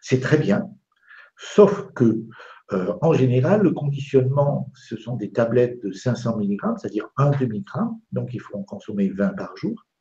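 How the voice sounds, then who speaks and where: A man with a medium pitch and a dark, mellow, somewhat breathy tone talks at a fairly slow pace, his pitch swinging very widely. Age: 70s. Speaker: doctor and lecturer. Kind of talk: interview on live web TV. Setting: live web broadcast.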